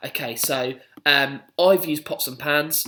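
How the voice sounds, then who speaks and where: A man talks in an ordinary speaking voice. His pitch is fairly high and his intonation fairly even. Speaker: primary school PE teacher. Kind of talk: instructional video for pupils.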